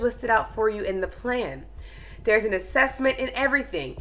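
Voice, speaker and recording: A woman speaks at a moderate pace, her fairly high pitch carrying a bright, sharp tone with vocal fry. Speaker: online ESL teacher. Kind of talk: tutorial.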